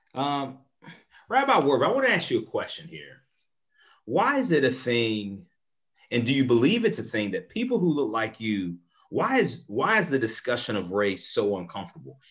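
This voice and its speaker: Against a quiet background, the voice comes across in an animated tone at a moderate pace. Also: man. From US South. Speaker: moderator, nonprofit executive director; moderator. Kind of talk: panel discussion moderation. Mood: earnest, engaged. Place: home room. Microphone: video call.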